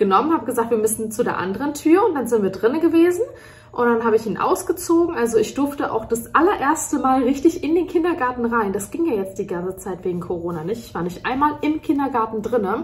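Very fast speech from a woman with a high pitch. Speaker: mother vlogger. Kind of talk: casual vlog chat. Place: kitchen. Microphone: phone near.

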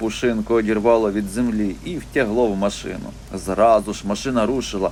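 The speaker uses plain reading aloud.

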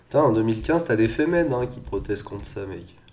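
In audible room echo, a man of medium pitch speaks at a fairly slow pace with lively intonation. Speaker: gaming youtuber. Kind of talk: let's play commentary. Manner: casual, hesitant with fillers.

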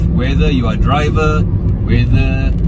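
A man talks at a fairly slow pace. Loud noise fills the background. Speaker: food delivery vlogger. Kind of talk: casual vlog chat. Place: car.

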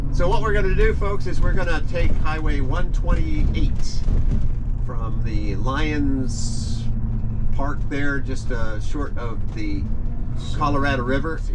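A man talks at a very slow pace while loud noise fills the background. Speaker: vlogger. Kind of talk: casual vlog chat. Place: car. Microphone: camera far.

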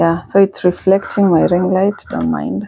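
A woman is speaking. The sound is dry with no echo. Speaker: vlogger. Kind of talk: casual vlog chat. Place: home room. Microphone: lapel.

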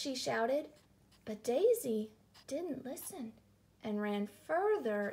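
The clip consists of plain reading aloud.

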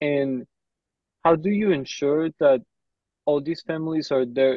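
Recorded dry with no echo, a man talks over a quiet background. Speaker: meeting participant; interviewer asking questions. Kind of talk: casual chat. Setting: video call. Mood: polite, thoughtful. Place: office. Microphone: earbuds.

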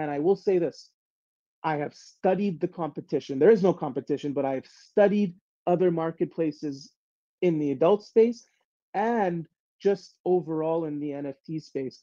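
Dark and mellow in tone, a man's high voice moves at a moderate pace with ordinary pitch variation. The sound is dry and close with no echo over a quiet background. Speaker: project executive and AMA host. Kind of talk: live AMA session. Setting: voice call. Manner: repetitive, stuttering starts.

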